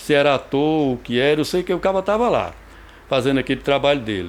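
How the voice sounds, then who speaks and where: Here a man speaks at a fairly high pitch and a moderate pace. His pitch swings very widely. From Brazilian Northeast (Rio Grande do Norte / Paraíba). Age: 60s. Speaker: actor and playwright. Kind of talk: biographical interview. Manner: halting, with repetitions.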